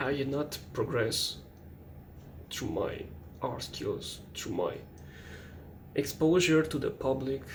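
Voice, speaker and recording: A man with a non-native accent speaks at a very slow pace, with long, frequent pauses. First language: not English. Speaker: artist. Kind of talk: late-night personal monologue. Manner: hesitant, halting.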